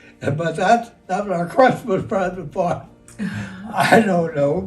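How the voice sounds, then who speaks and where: A man's high-pitched voice with an American accent at a fairly slow pace, ordinary pitch variation, audible room echo and music in the background. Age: 90s. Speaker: war veteran. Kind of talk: interview. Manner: halting.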